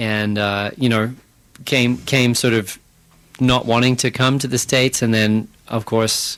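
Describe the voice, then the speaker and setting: In a slight Australian accent, a man speaks with monotone, flat intonation. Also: medium pitch for a man, fairly slow pace. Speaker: band frontman and singer. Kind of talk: radio interview. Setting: radio studio.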